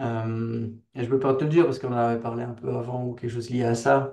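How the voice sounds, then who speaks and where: With a slight Belgian accent, a man speaks in a dark, mellow tone and monotone, flat intonation. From Belgium. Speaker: software engineer, company founder. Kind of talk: interview. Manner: casual, hesitant with fillers.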